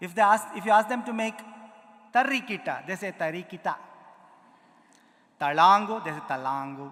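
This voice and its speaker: A man with a high pitch and a bright, sharp tone speaks in a strong Indian accent. His pace is moderate with ordinary pitch variation. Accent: Indian accent, heavy. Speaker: musician, konnakol percussionist. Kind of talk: conference talk with demonstration. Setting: auditorium with live audience. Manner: animated.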